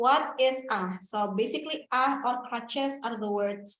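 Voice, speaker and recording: Someone speaks at a fairly slow pace with an Indonesian accent. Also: woman. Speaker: toastmasters club member, ah counter. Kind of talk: club meeting role explanation. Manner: loud.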